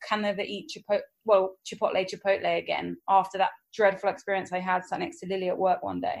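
With an English accent, a woman speaks at a fairly quick pace against a quiet background. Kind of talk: casual chat.

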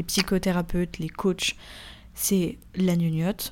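On a very clean recording with a silent background, a woman of medium pitch speaks in a somewhat breathy, flat monotone. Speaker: podcaster. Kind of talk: personal monologue. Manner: casual, with hesitations.

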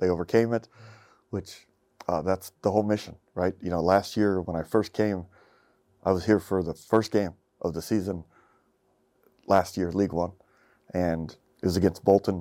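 With a dark, mellow tone and a very deep, low pitch, a man speaks at a moderate pace broken by long, frequent pauses. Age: 50s. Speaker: public speaker, former police officer. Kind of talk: casual interview. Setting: studio.

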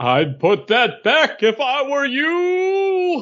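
Putting on a character voice, a man speaks very slowly in an extremely high pitch. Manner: dramatic, commanding.

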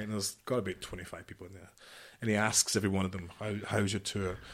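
Very fast speech with big swings in loudness. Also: man. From Scotland, near Glasgow. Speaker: former marine commando and security chief. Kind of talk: interview storytelling. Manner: animated.

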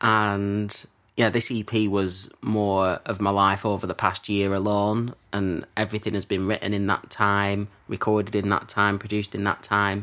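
Over a silent background in a very clean recording, a man talks at a moderate pace in a fairly low, bright, sharp voice with monotone, flat intonation. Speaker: musician and composer. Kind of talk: casual chat.

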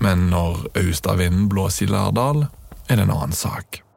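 Very deep, low man's voice with lively intonation at a fairly slow pace, over noticeable background noise. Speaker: podcast host and narrator. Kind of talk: scripted narration.

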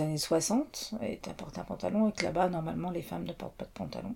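Speaking at a moderate pace, a woman with a fairly low pitch and a dark, mellow tone uses ordinary pitch variation and shows vocal fry. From France, childhood in Mauritania. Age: 50s. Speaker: interviewee. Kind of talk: interview. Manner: hesitant.

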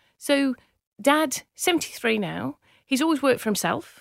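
Over a very clean recording with a silent background, a woman with an English accent speaks high for a woman at a fairly quick pace, the sound dry and close with no echo. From northern England, Manchester/Cheshire. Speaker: business founder. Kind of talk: interview.

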